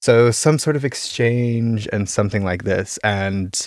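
Very cleanly recorded against a silent background, a man with an American accent speaks at a medium pitch and a fairly slow pace in an unremarkable speaking voice with ordinary pitch variation. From US, Idaho. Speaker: composer and sound artist. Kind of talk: casual interview.

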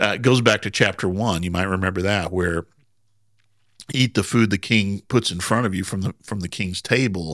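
In a very clean recording with a silent background and a dry, close sound with no echo, a man speaks with an American accent. His is an unremarkable speaking voice, fairly low, with ordinary pitch variation at a moderate pace. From US Midwest, Southern Indiana. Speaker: Bible podcast co-host. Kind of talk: casual Bible study discussion.

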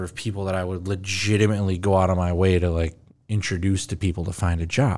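At a fairly quick pace, a man speaks in a plain, everyday voice with fairly low pitch. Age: 40s. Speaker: podcast host. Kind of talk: casual chat. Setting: in-person recording in Minneapolis.

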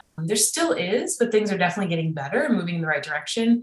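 With a Midwestern accent, a woman talks in a fairly low pitch with ordinary pitch variation. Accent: American Midwest. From US Midwest, Chicago area. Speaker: film director and producer. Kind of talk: casual interview.

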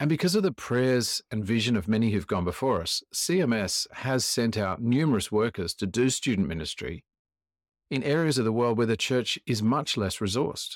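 On a very clean recording with a silent background, a man speaks with an Australian accent at a medium pitch. His moderate pace and lively intonation come through as a dry, close sound with no echo. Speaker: podcast host. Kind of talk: interview.

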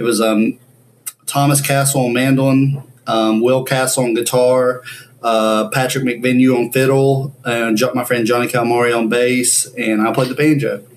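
Over noticeable background noise, a man speaks at a medium pitch and a fairly slow pace, his intonation monotone and flat and his loudness very even. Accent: American. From US South, Ashe County, North Carolina. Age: 20s. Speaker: banjo player. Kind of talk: interview.

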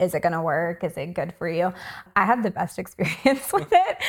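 At a moderate pace and medium pitch, a woman speaks in a plain, everyday voice on a very clean recording with a silent background. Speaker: nurse practitioner. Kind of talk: casual chat.

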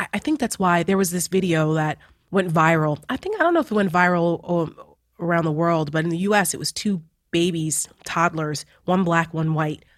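With a New Jersey accent, a woman talks at a fairly low pitch with fairly even intonation. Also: very clean recording, silent background. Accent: New Jersey American English. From New Jersey, US. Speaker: political commentator. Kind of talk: casual chat.

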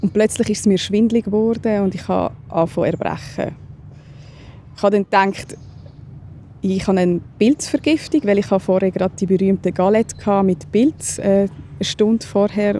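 The speech moves at a moderate pace with long, frequent pauses. Pitch varies in an ordinary way. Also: woman. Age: 30s. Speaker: stroke survivor. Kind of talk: testimony. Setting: outdoors.

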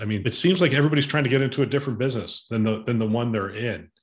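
With a medium pitch and ordinary pitch variation, a man speaks in a somewhat breathy voice. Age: 50s. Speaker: podcast host, former hospital system CIO. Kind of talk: casual panel discussion.

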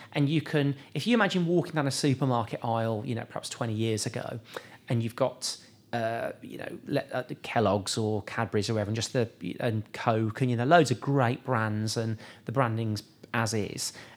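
A man with a British accent speaks at medium pitch and a moderate pace, with ordinary pitch variation. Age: 40s. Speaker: sports nutrition company CEO. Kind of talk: casual interview.

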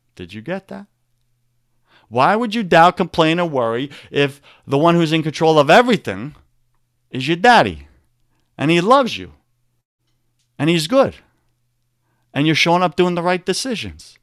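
Delivered at a moderate pace with a Long Island accent, the speech has very wide pitch swings, big swings in loudness and long, frequent pauses, recorded very cleanly in a silent background with a dry, close sound and no echo. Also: man, high pitch for a man. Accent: New York (Long Island). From Long Island, New York. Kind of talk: motivational talk with faith content. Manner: animated, preacher-like.

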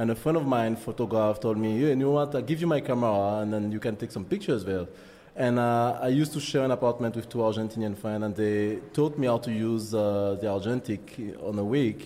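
Speaking very fast in a strong French accent, a man uses a medium pitch with ordinary pitch variation. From Martinique. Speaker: photographer. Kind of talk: interview. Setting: studio. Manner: halting.

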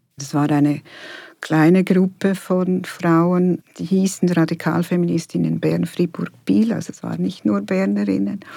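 On a very clean recording with a silent background, a woman with a fairly low pitch and a dark, mellow tone speaks fairly slowly, her pitch swinging very widely and her loudness rising and falling sharply. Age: 60s. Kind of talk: interview. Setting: studio.

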